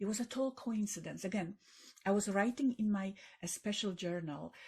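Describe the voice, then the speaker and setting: A woman with a Polish accent and a somewhat breathy voice. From Poland. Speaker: author and tech entrepreneur. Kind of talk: podcast interview. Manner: halting, with fillers and repetitions.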